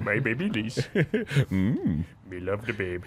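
A man's put-on character voice, fairly low and fairly slow, over clear background noise. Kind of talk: broken, simple speech. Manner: dim-witted, doting, comic.

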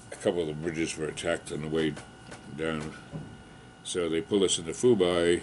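This man's very deep, low voice moves at a fairly quick pace with fairly even intonation over light background noise. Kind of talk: interview answer. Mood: calm, occasional laughs.

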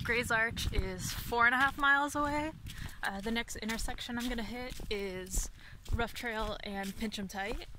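A woman speaks at a fairly slow pace with ordinary pitch variation. The sound is dry, with no echo, though noticeable background noise is present. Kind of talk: casual vlog chat. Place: forest. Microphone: phone near.

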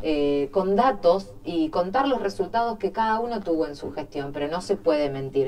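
A woman with a Rioplatense accent talks at a fairly low pitch and a moderate pace, with hardly any pauses and very wide pitch swings. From Argentina, Quilmes (Buenos Aires); Buenos Aires, Argentina. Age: 30s. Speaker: mayor, politician. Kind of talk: interview. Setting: studio. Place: studio.

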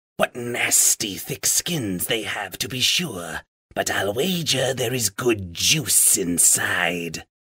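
A man's put-on character voice, creaky and hissing, medium in pitch and very slow in pace. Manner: gloating, relishing.

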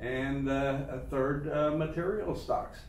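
A man talks at a fairly slow pace. Audible room echo and light background noise are present. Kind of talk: market commentary chat. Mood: relaxed, occasional laughs. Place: office.

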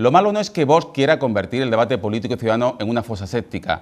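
Over a quiet background, a man with an Andalusian accent speaks in an angry tone with lively intonation. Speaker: TV presenter. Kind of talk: TV editorial commentary. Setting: TV studio. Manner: angry, indignant, forceful. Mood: indignant, critical. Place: studio. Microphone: lapel.

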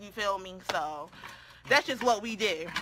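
A woman with a medium-pitched voice speaks at a moderate pace in an animated tone, with ordinary pitch variation and light background noise. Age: 30s. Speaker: beauty YouTuber. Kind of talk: casual makeup tutorial livestream. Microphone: phone near.

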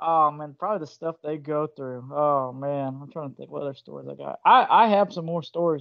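Against a quiet background, the speaker runs on with hardly any pauses in a Southern US accent. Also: fairly quick pace. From US South. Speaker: video channel host. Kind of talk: casual interview chat. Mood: casual, joking. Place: home room. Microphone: video call.

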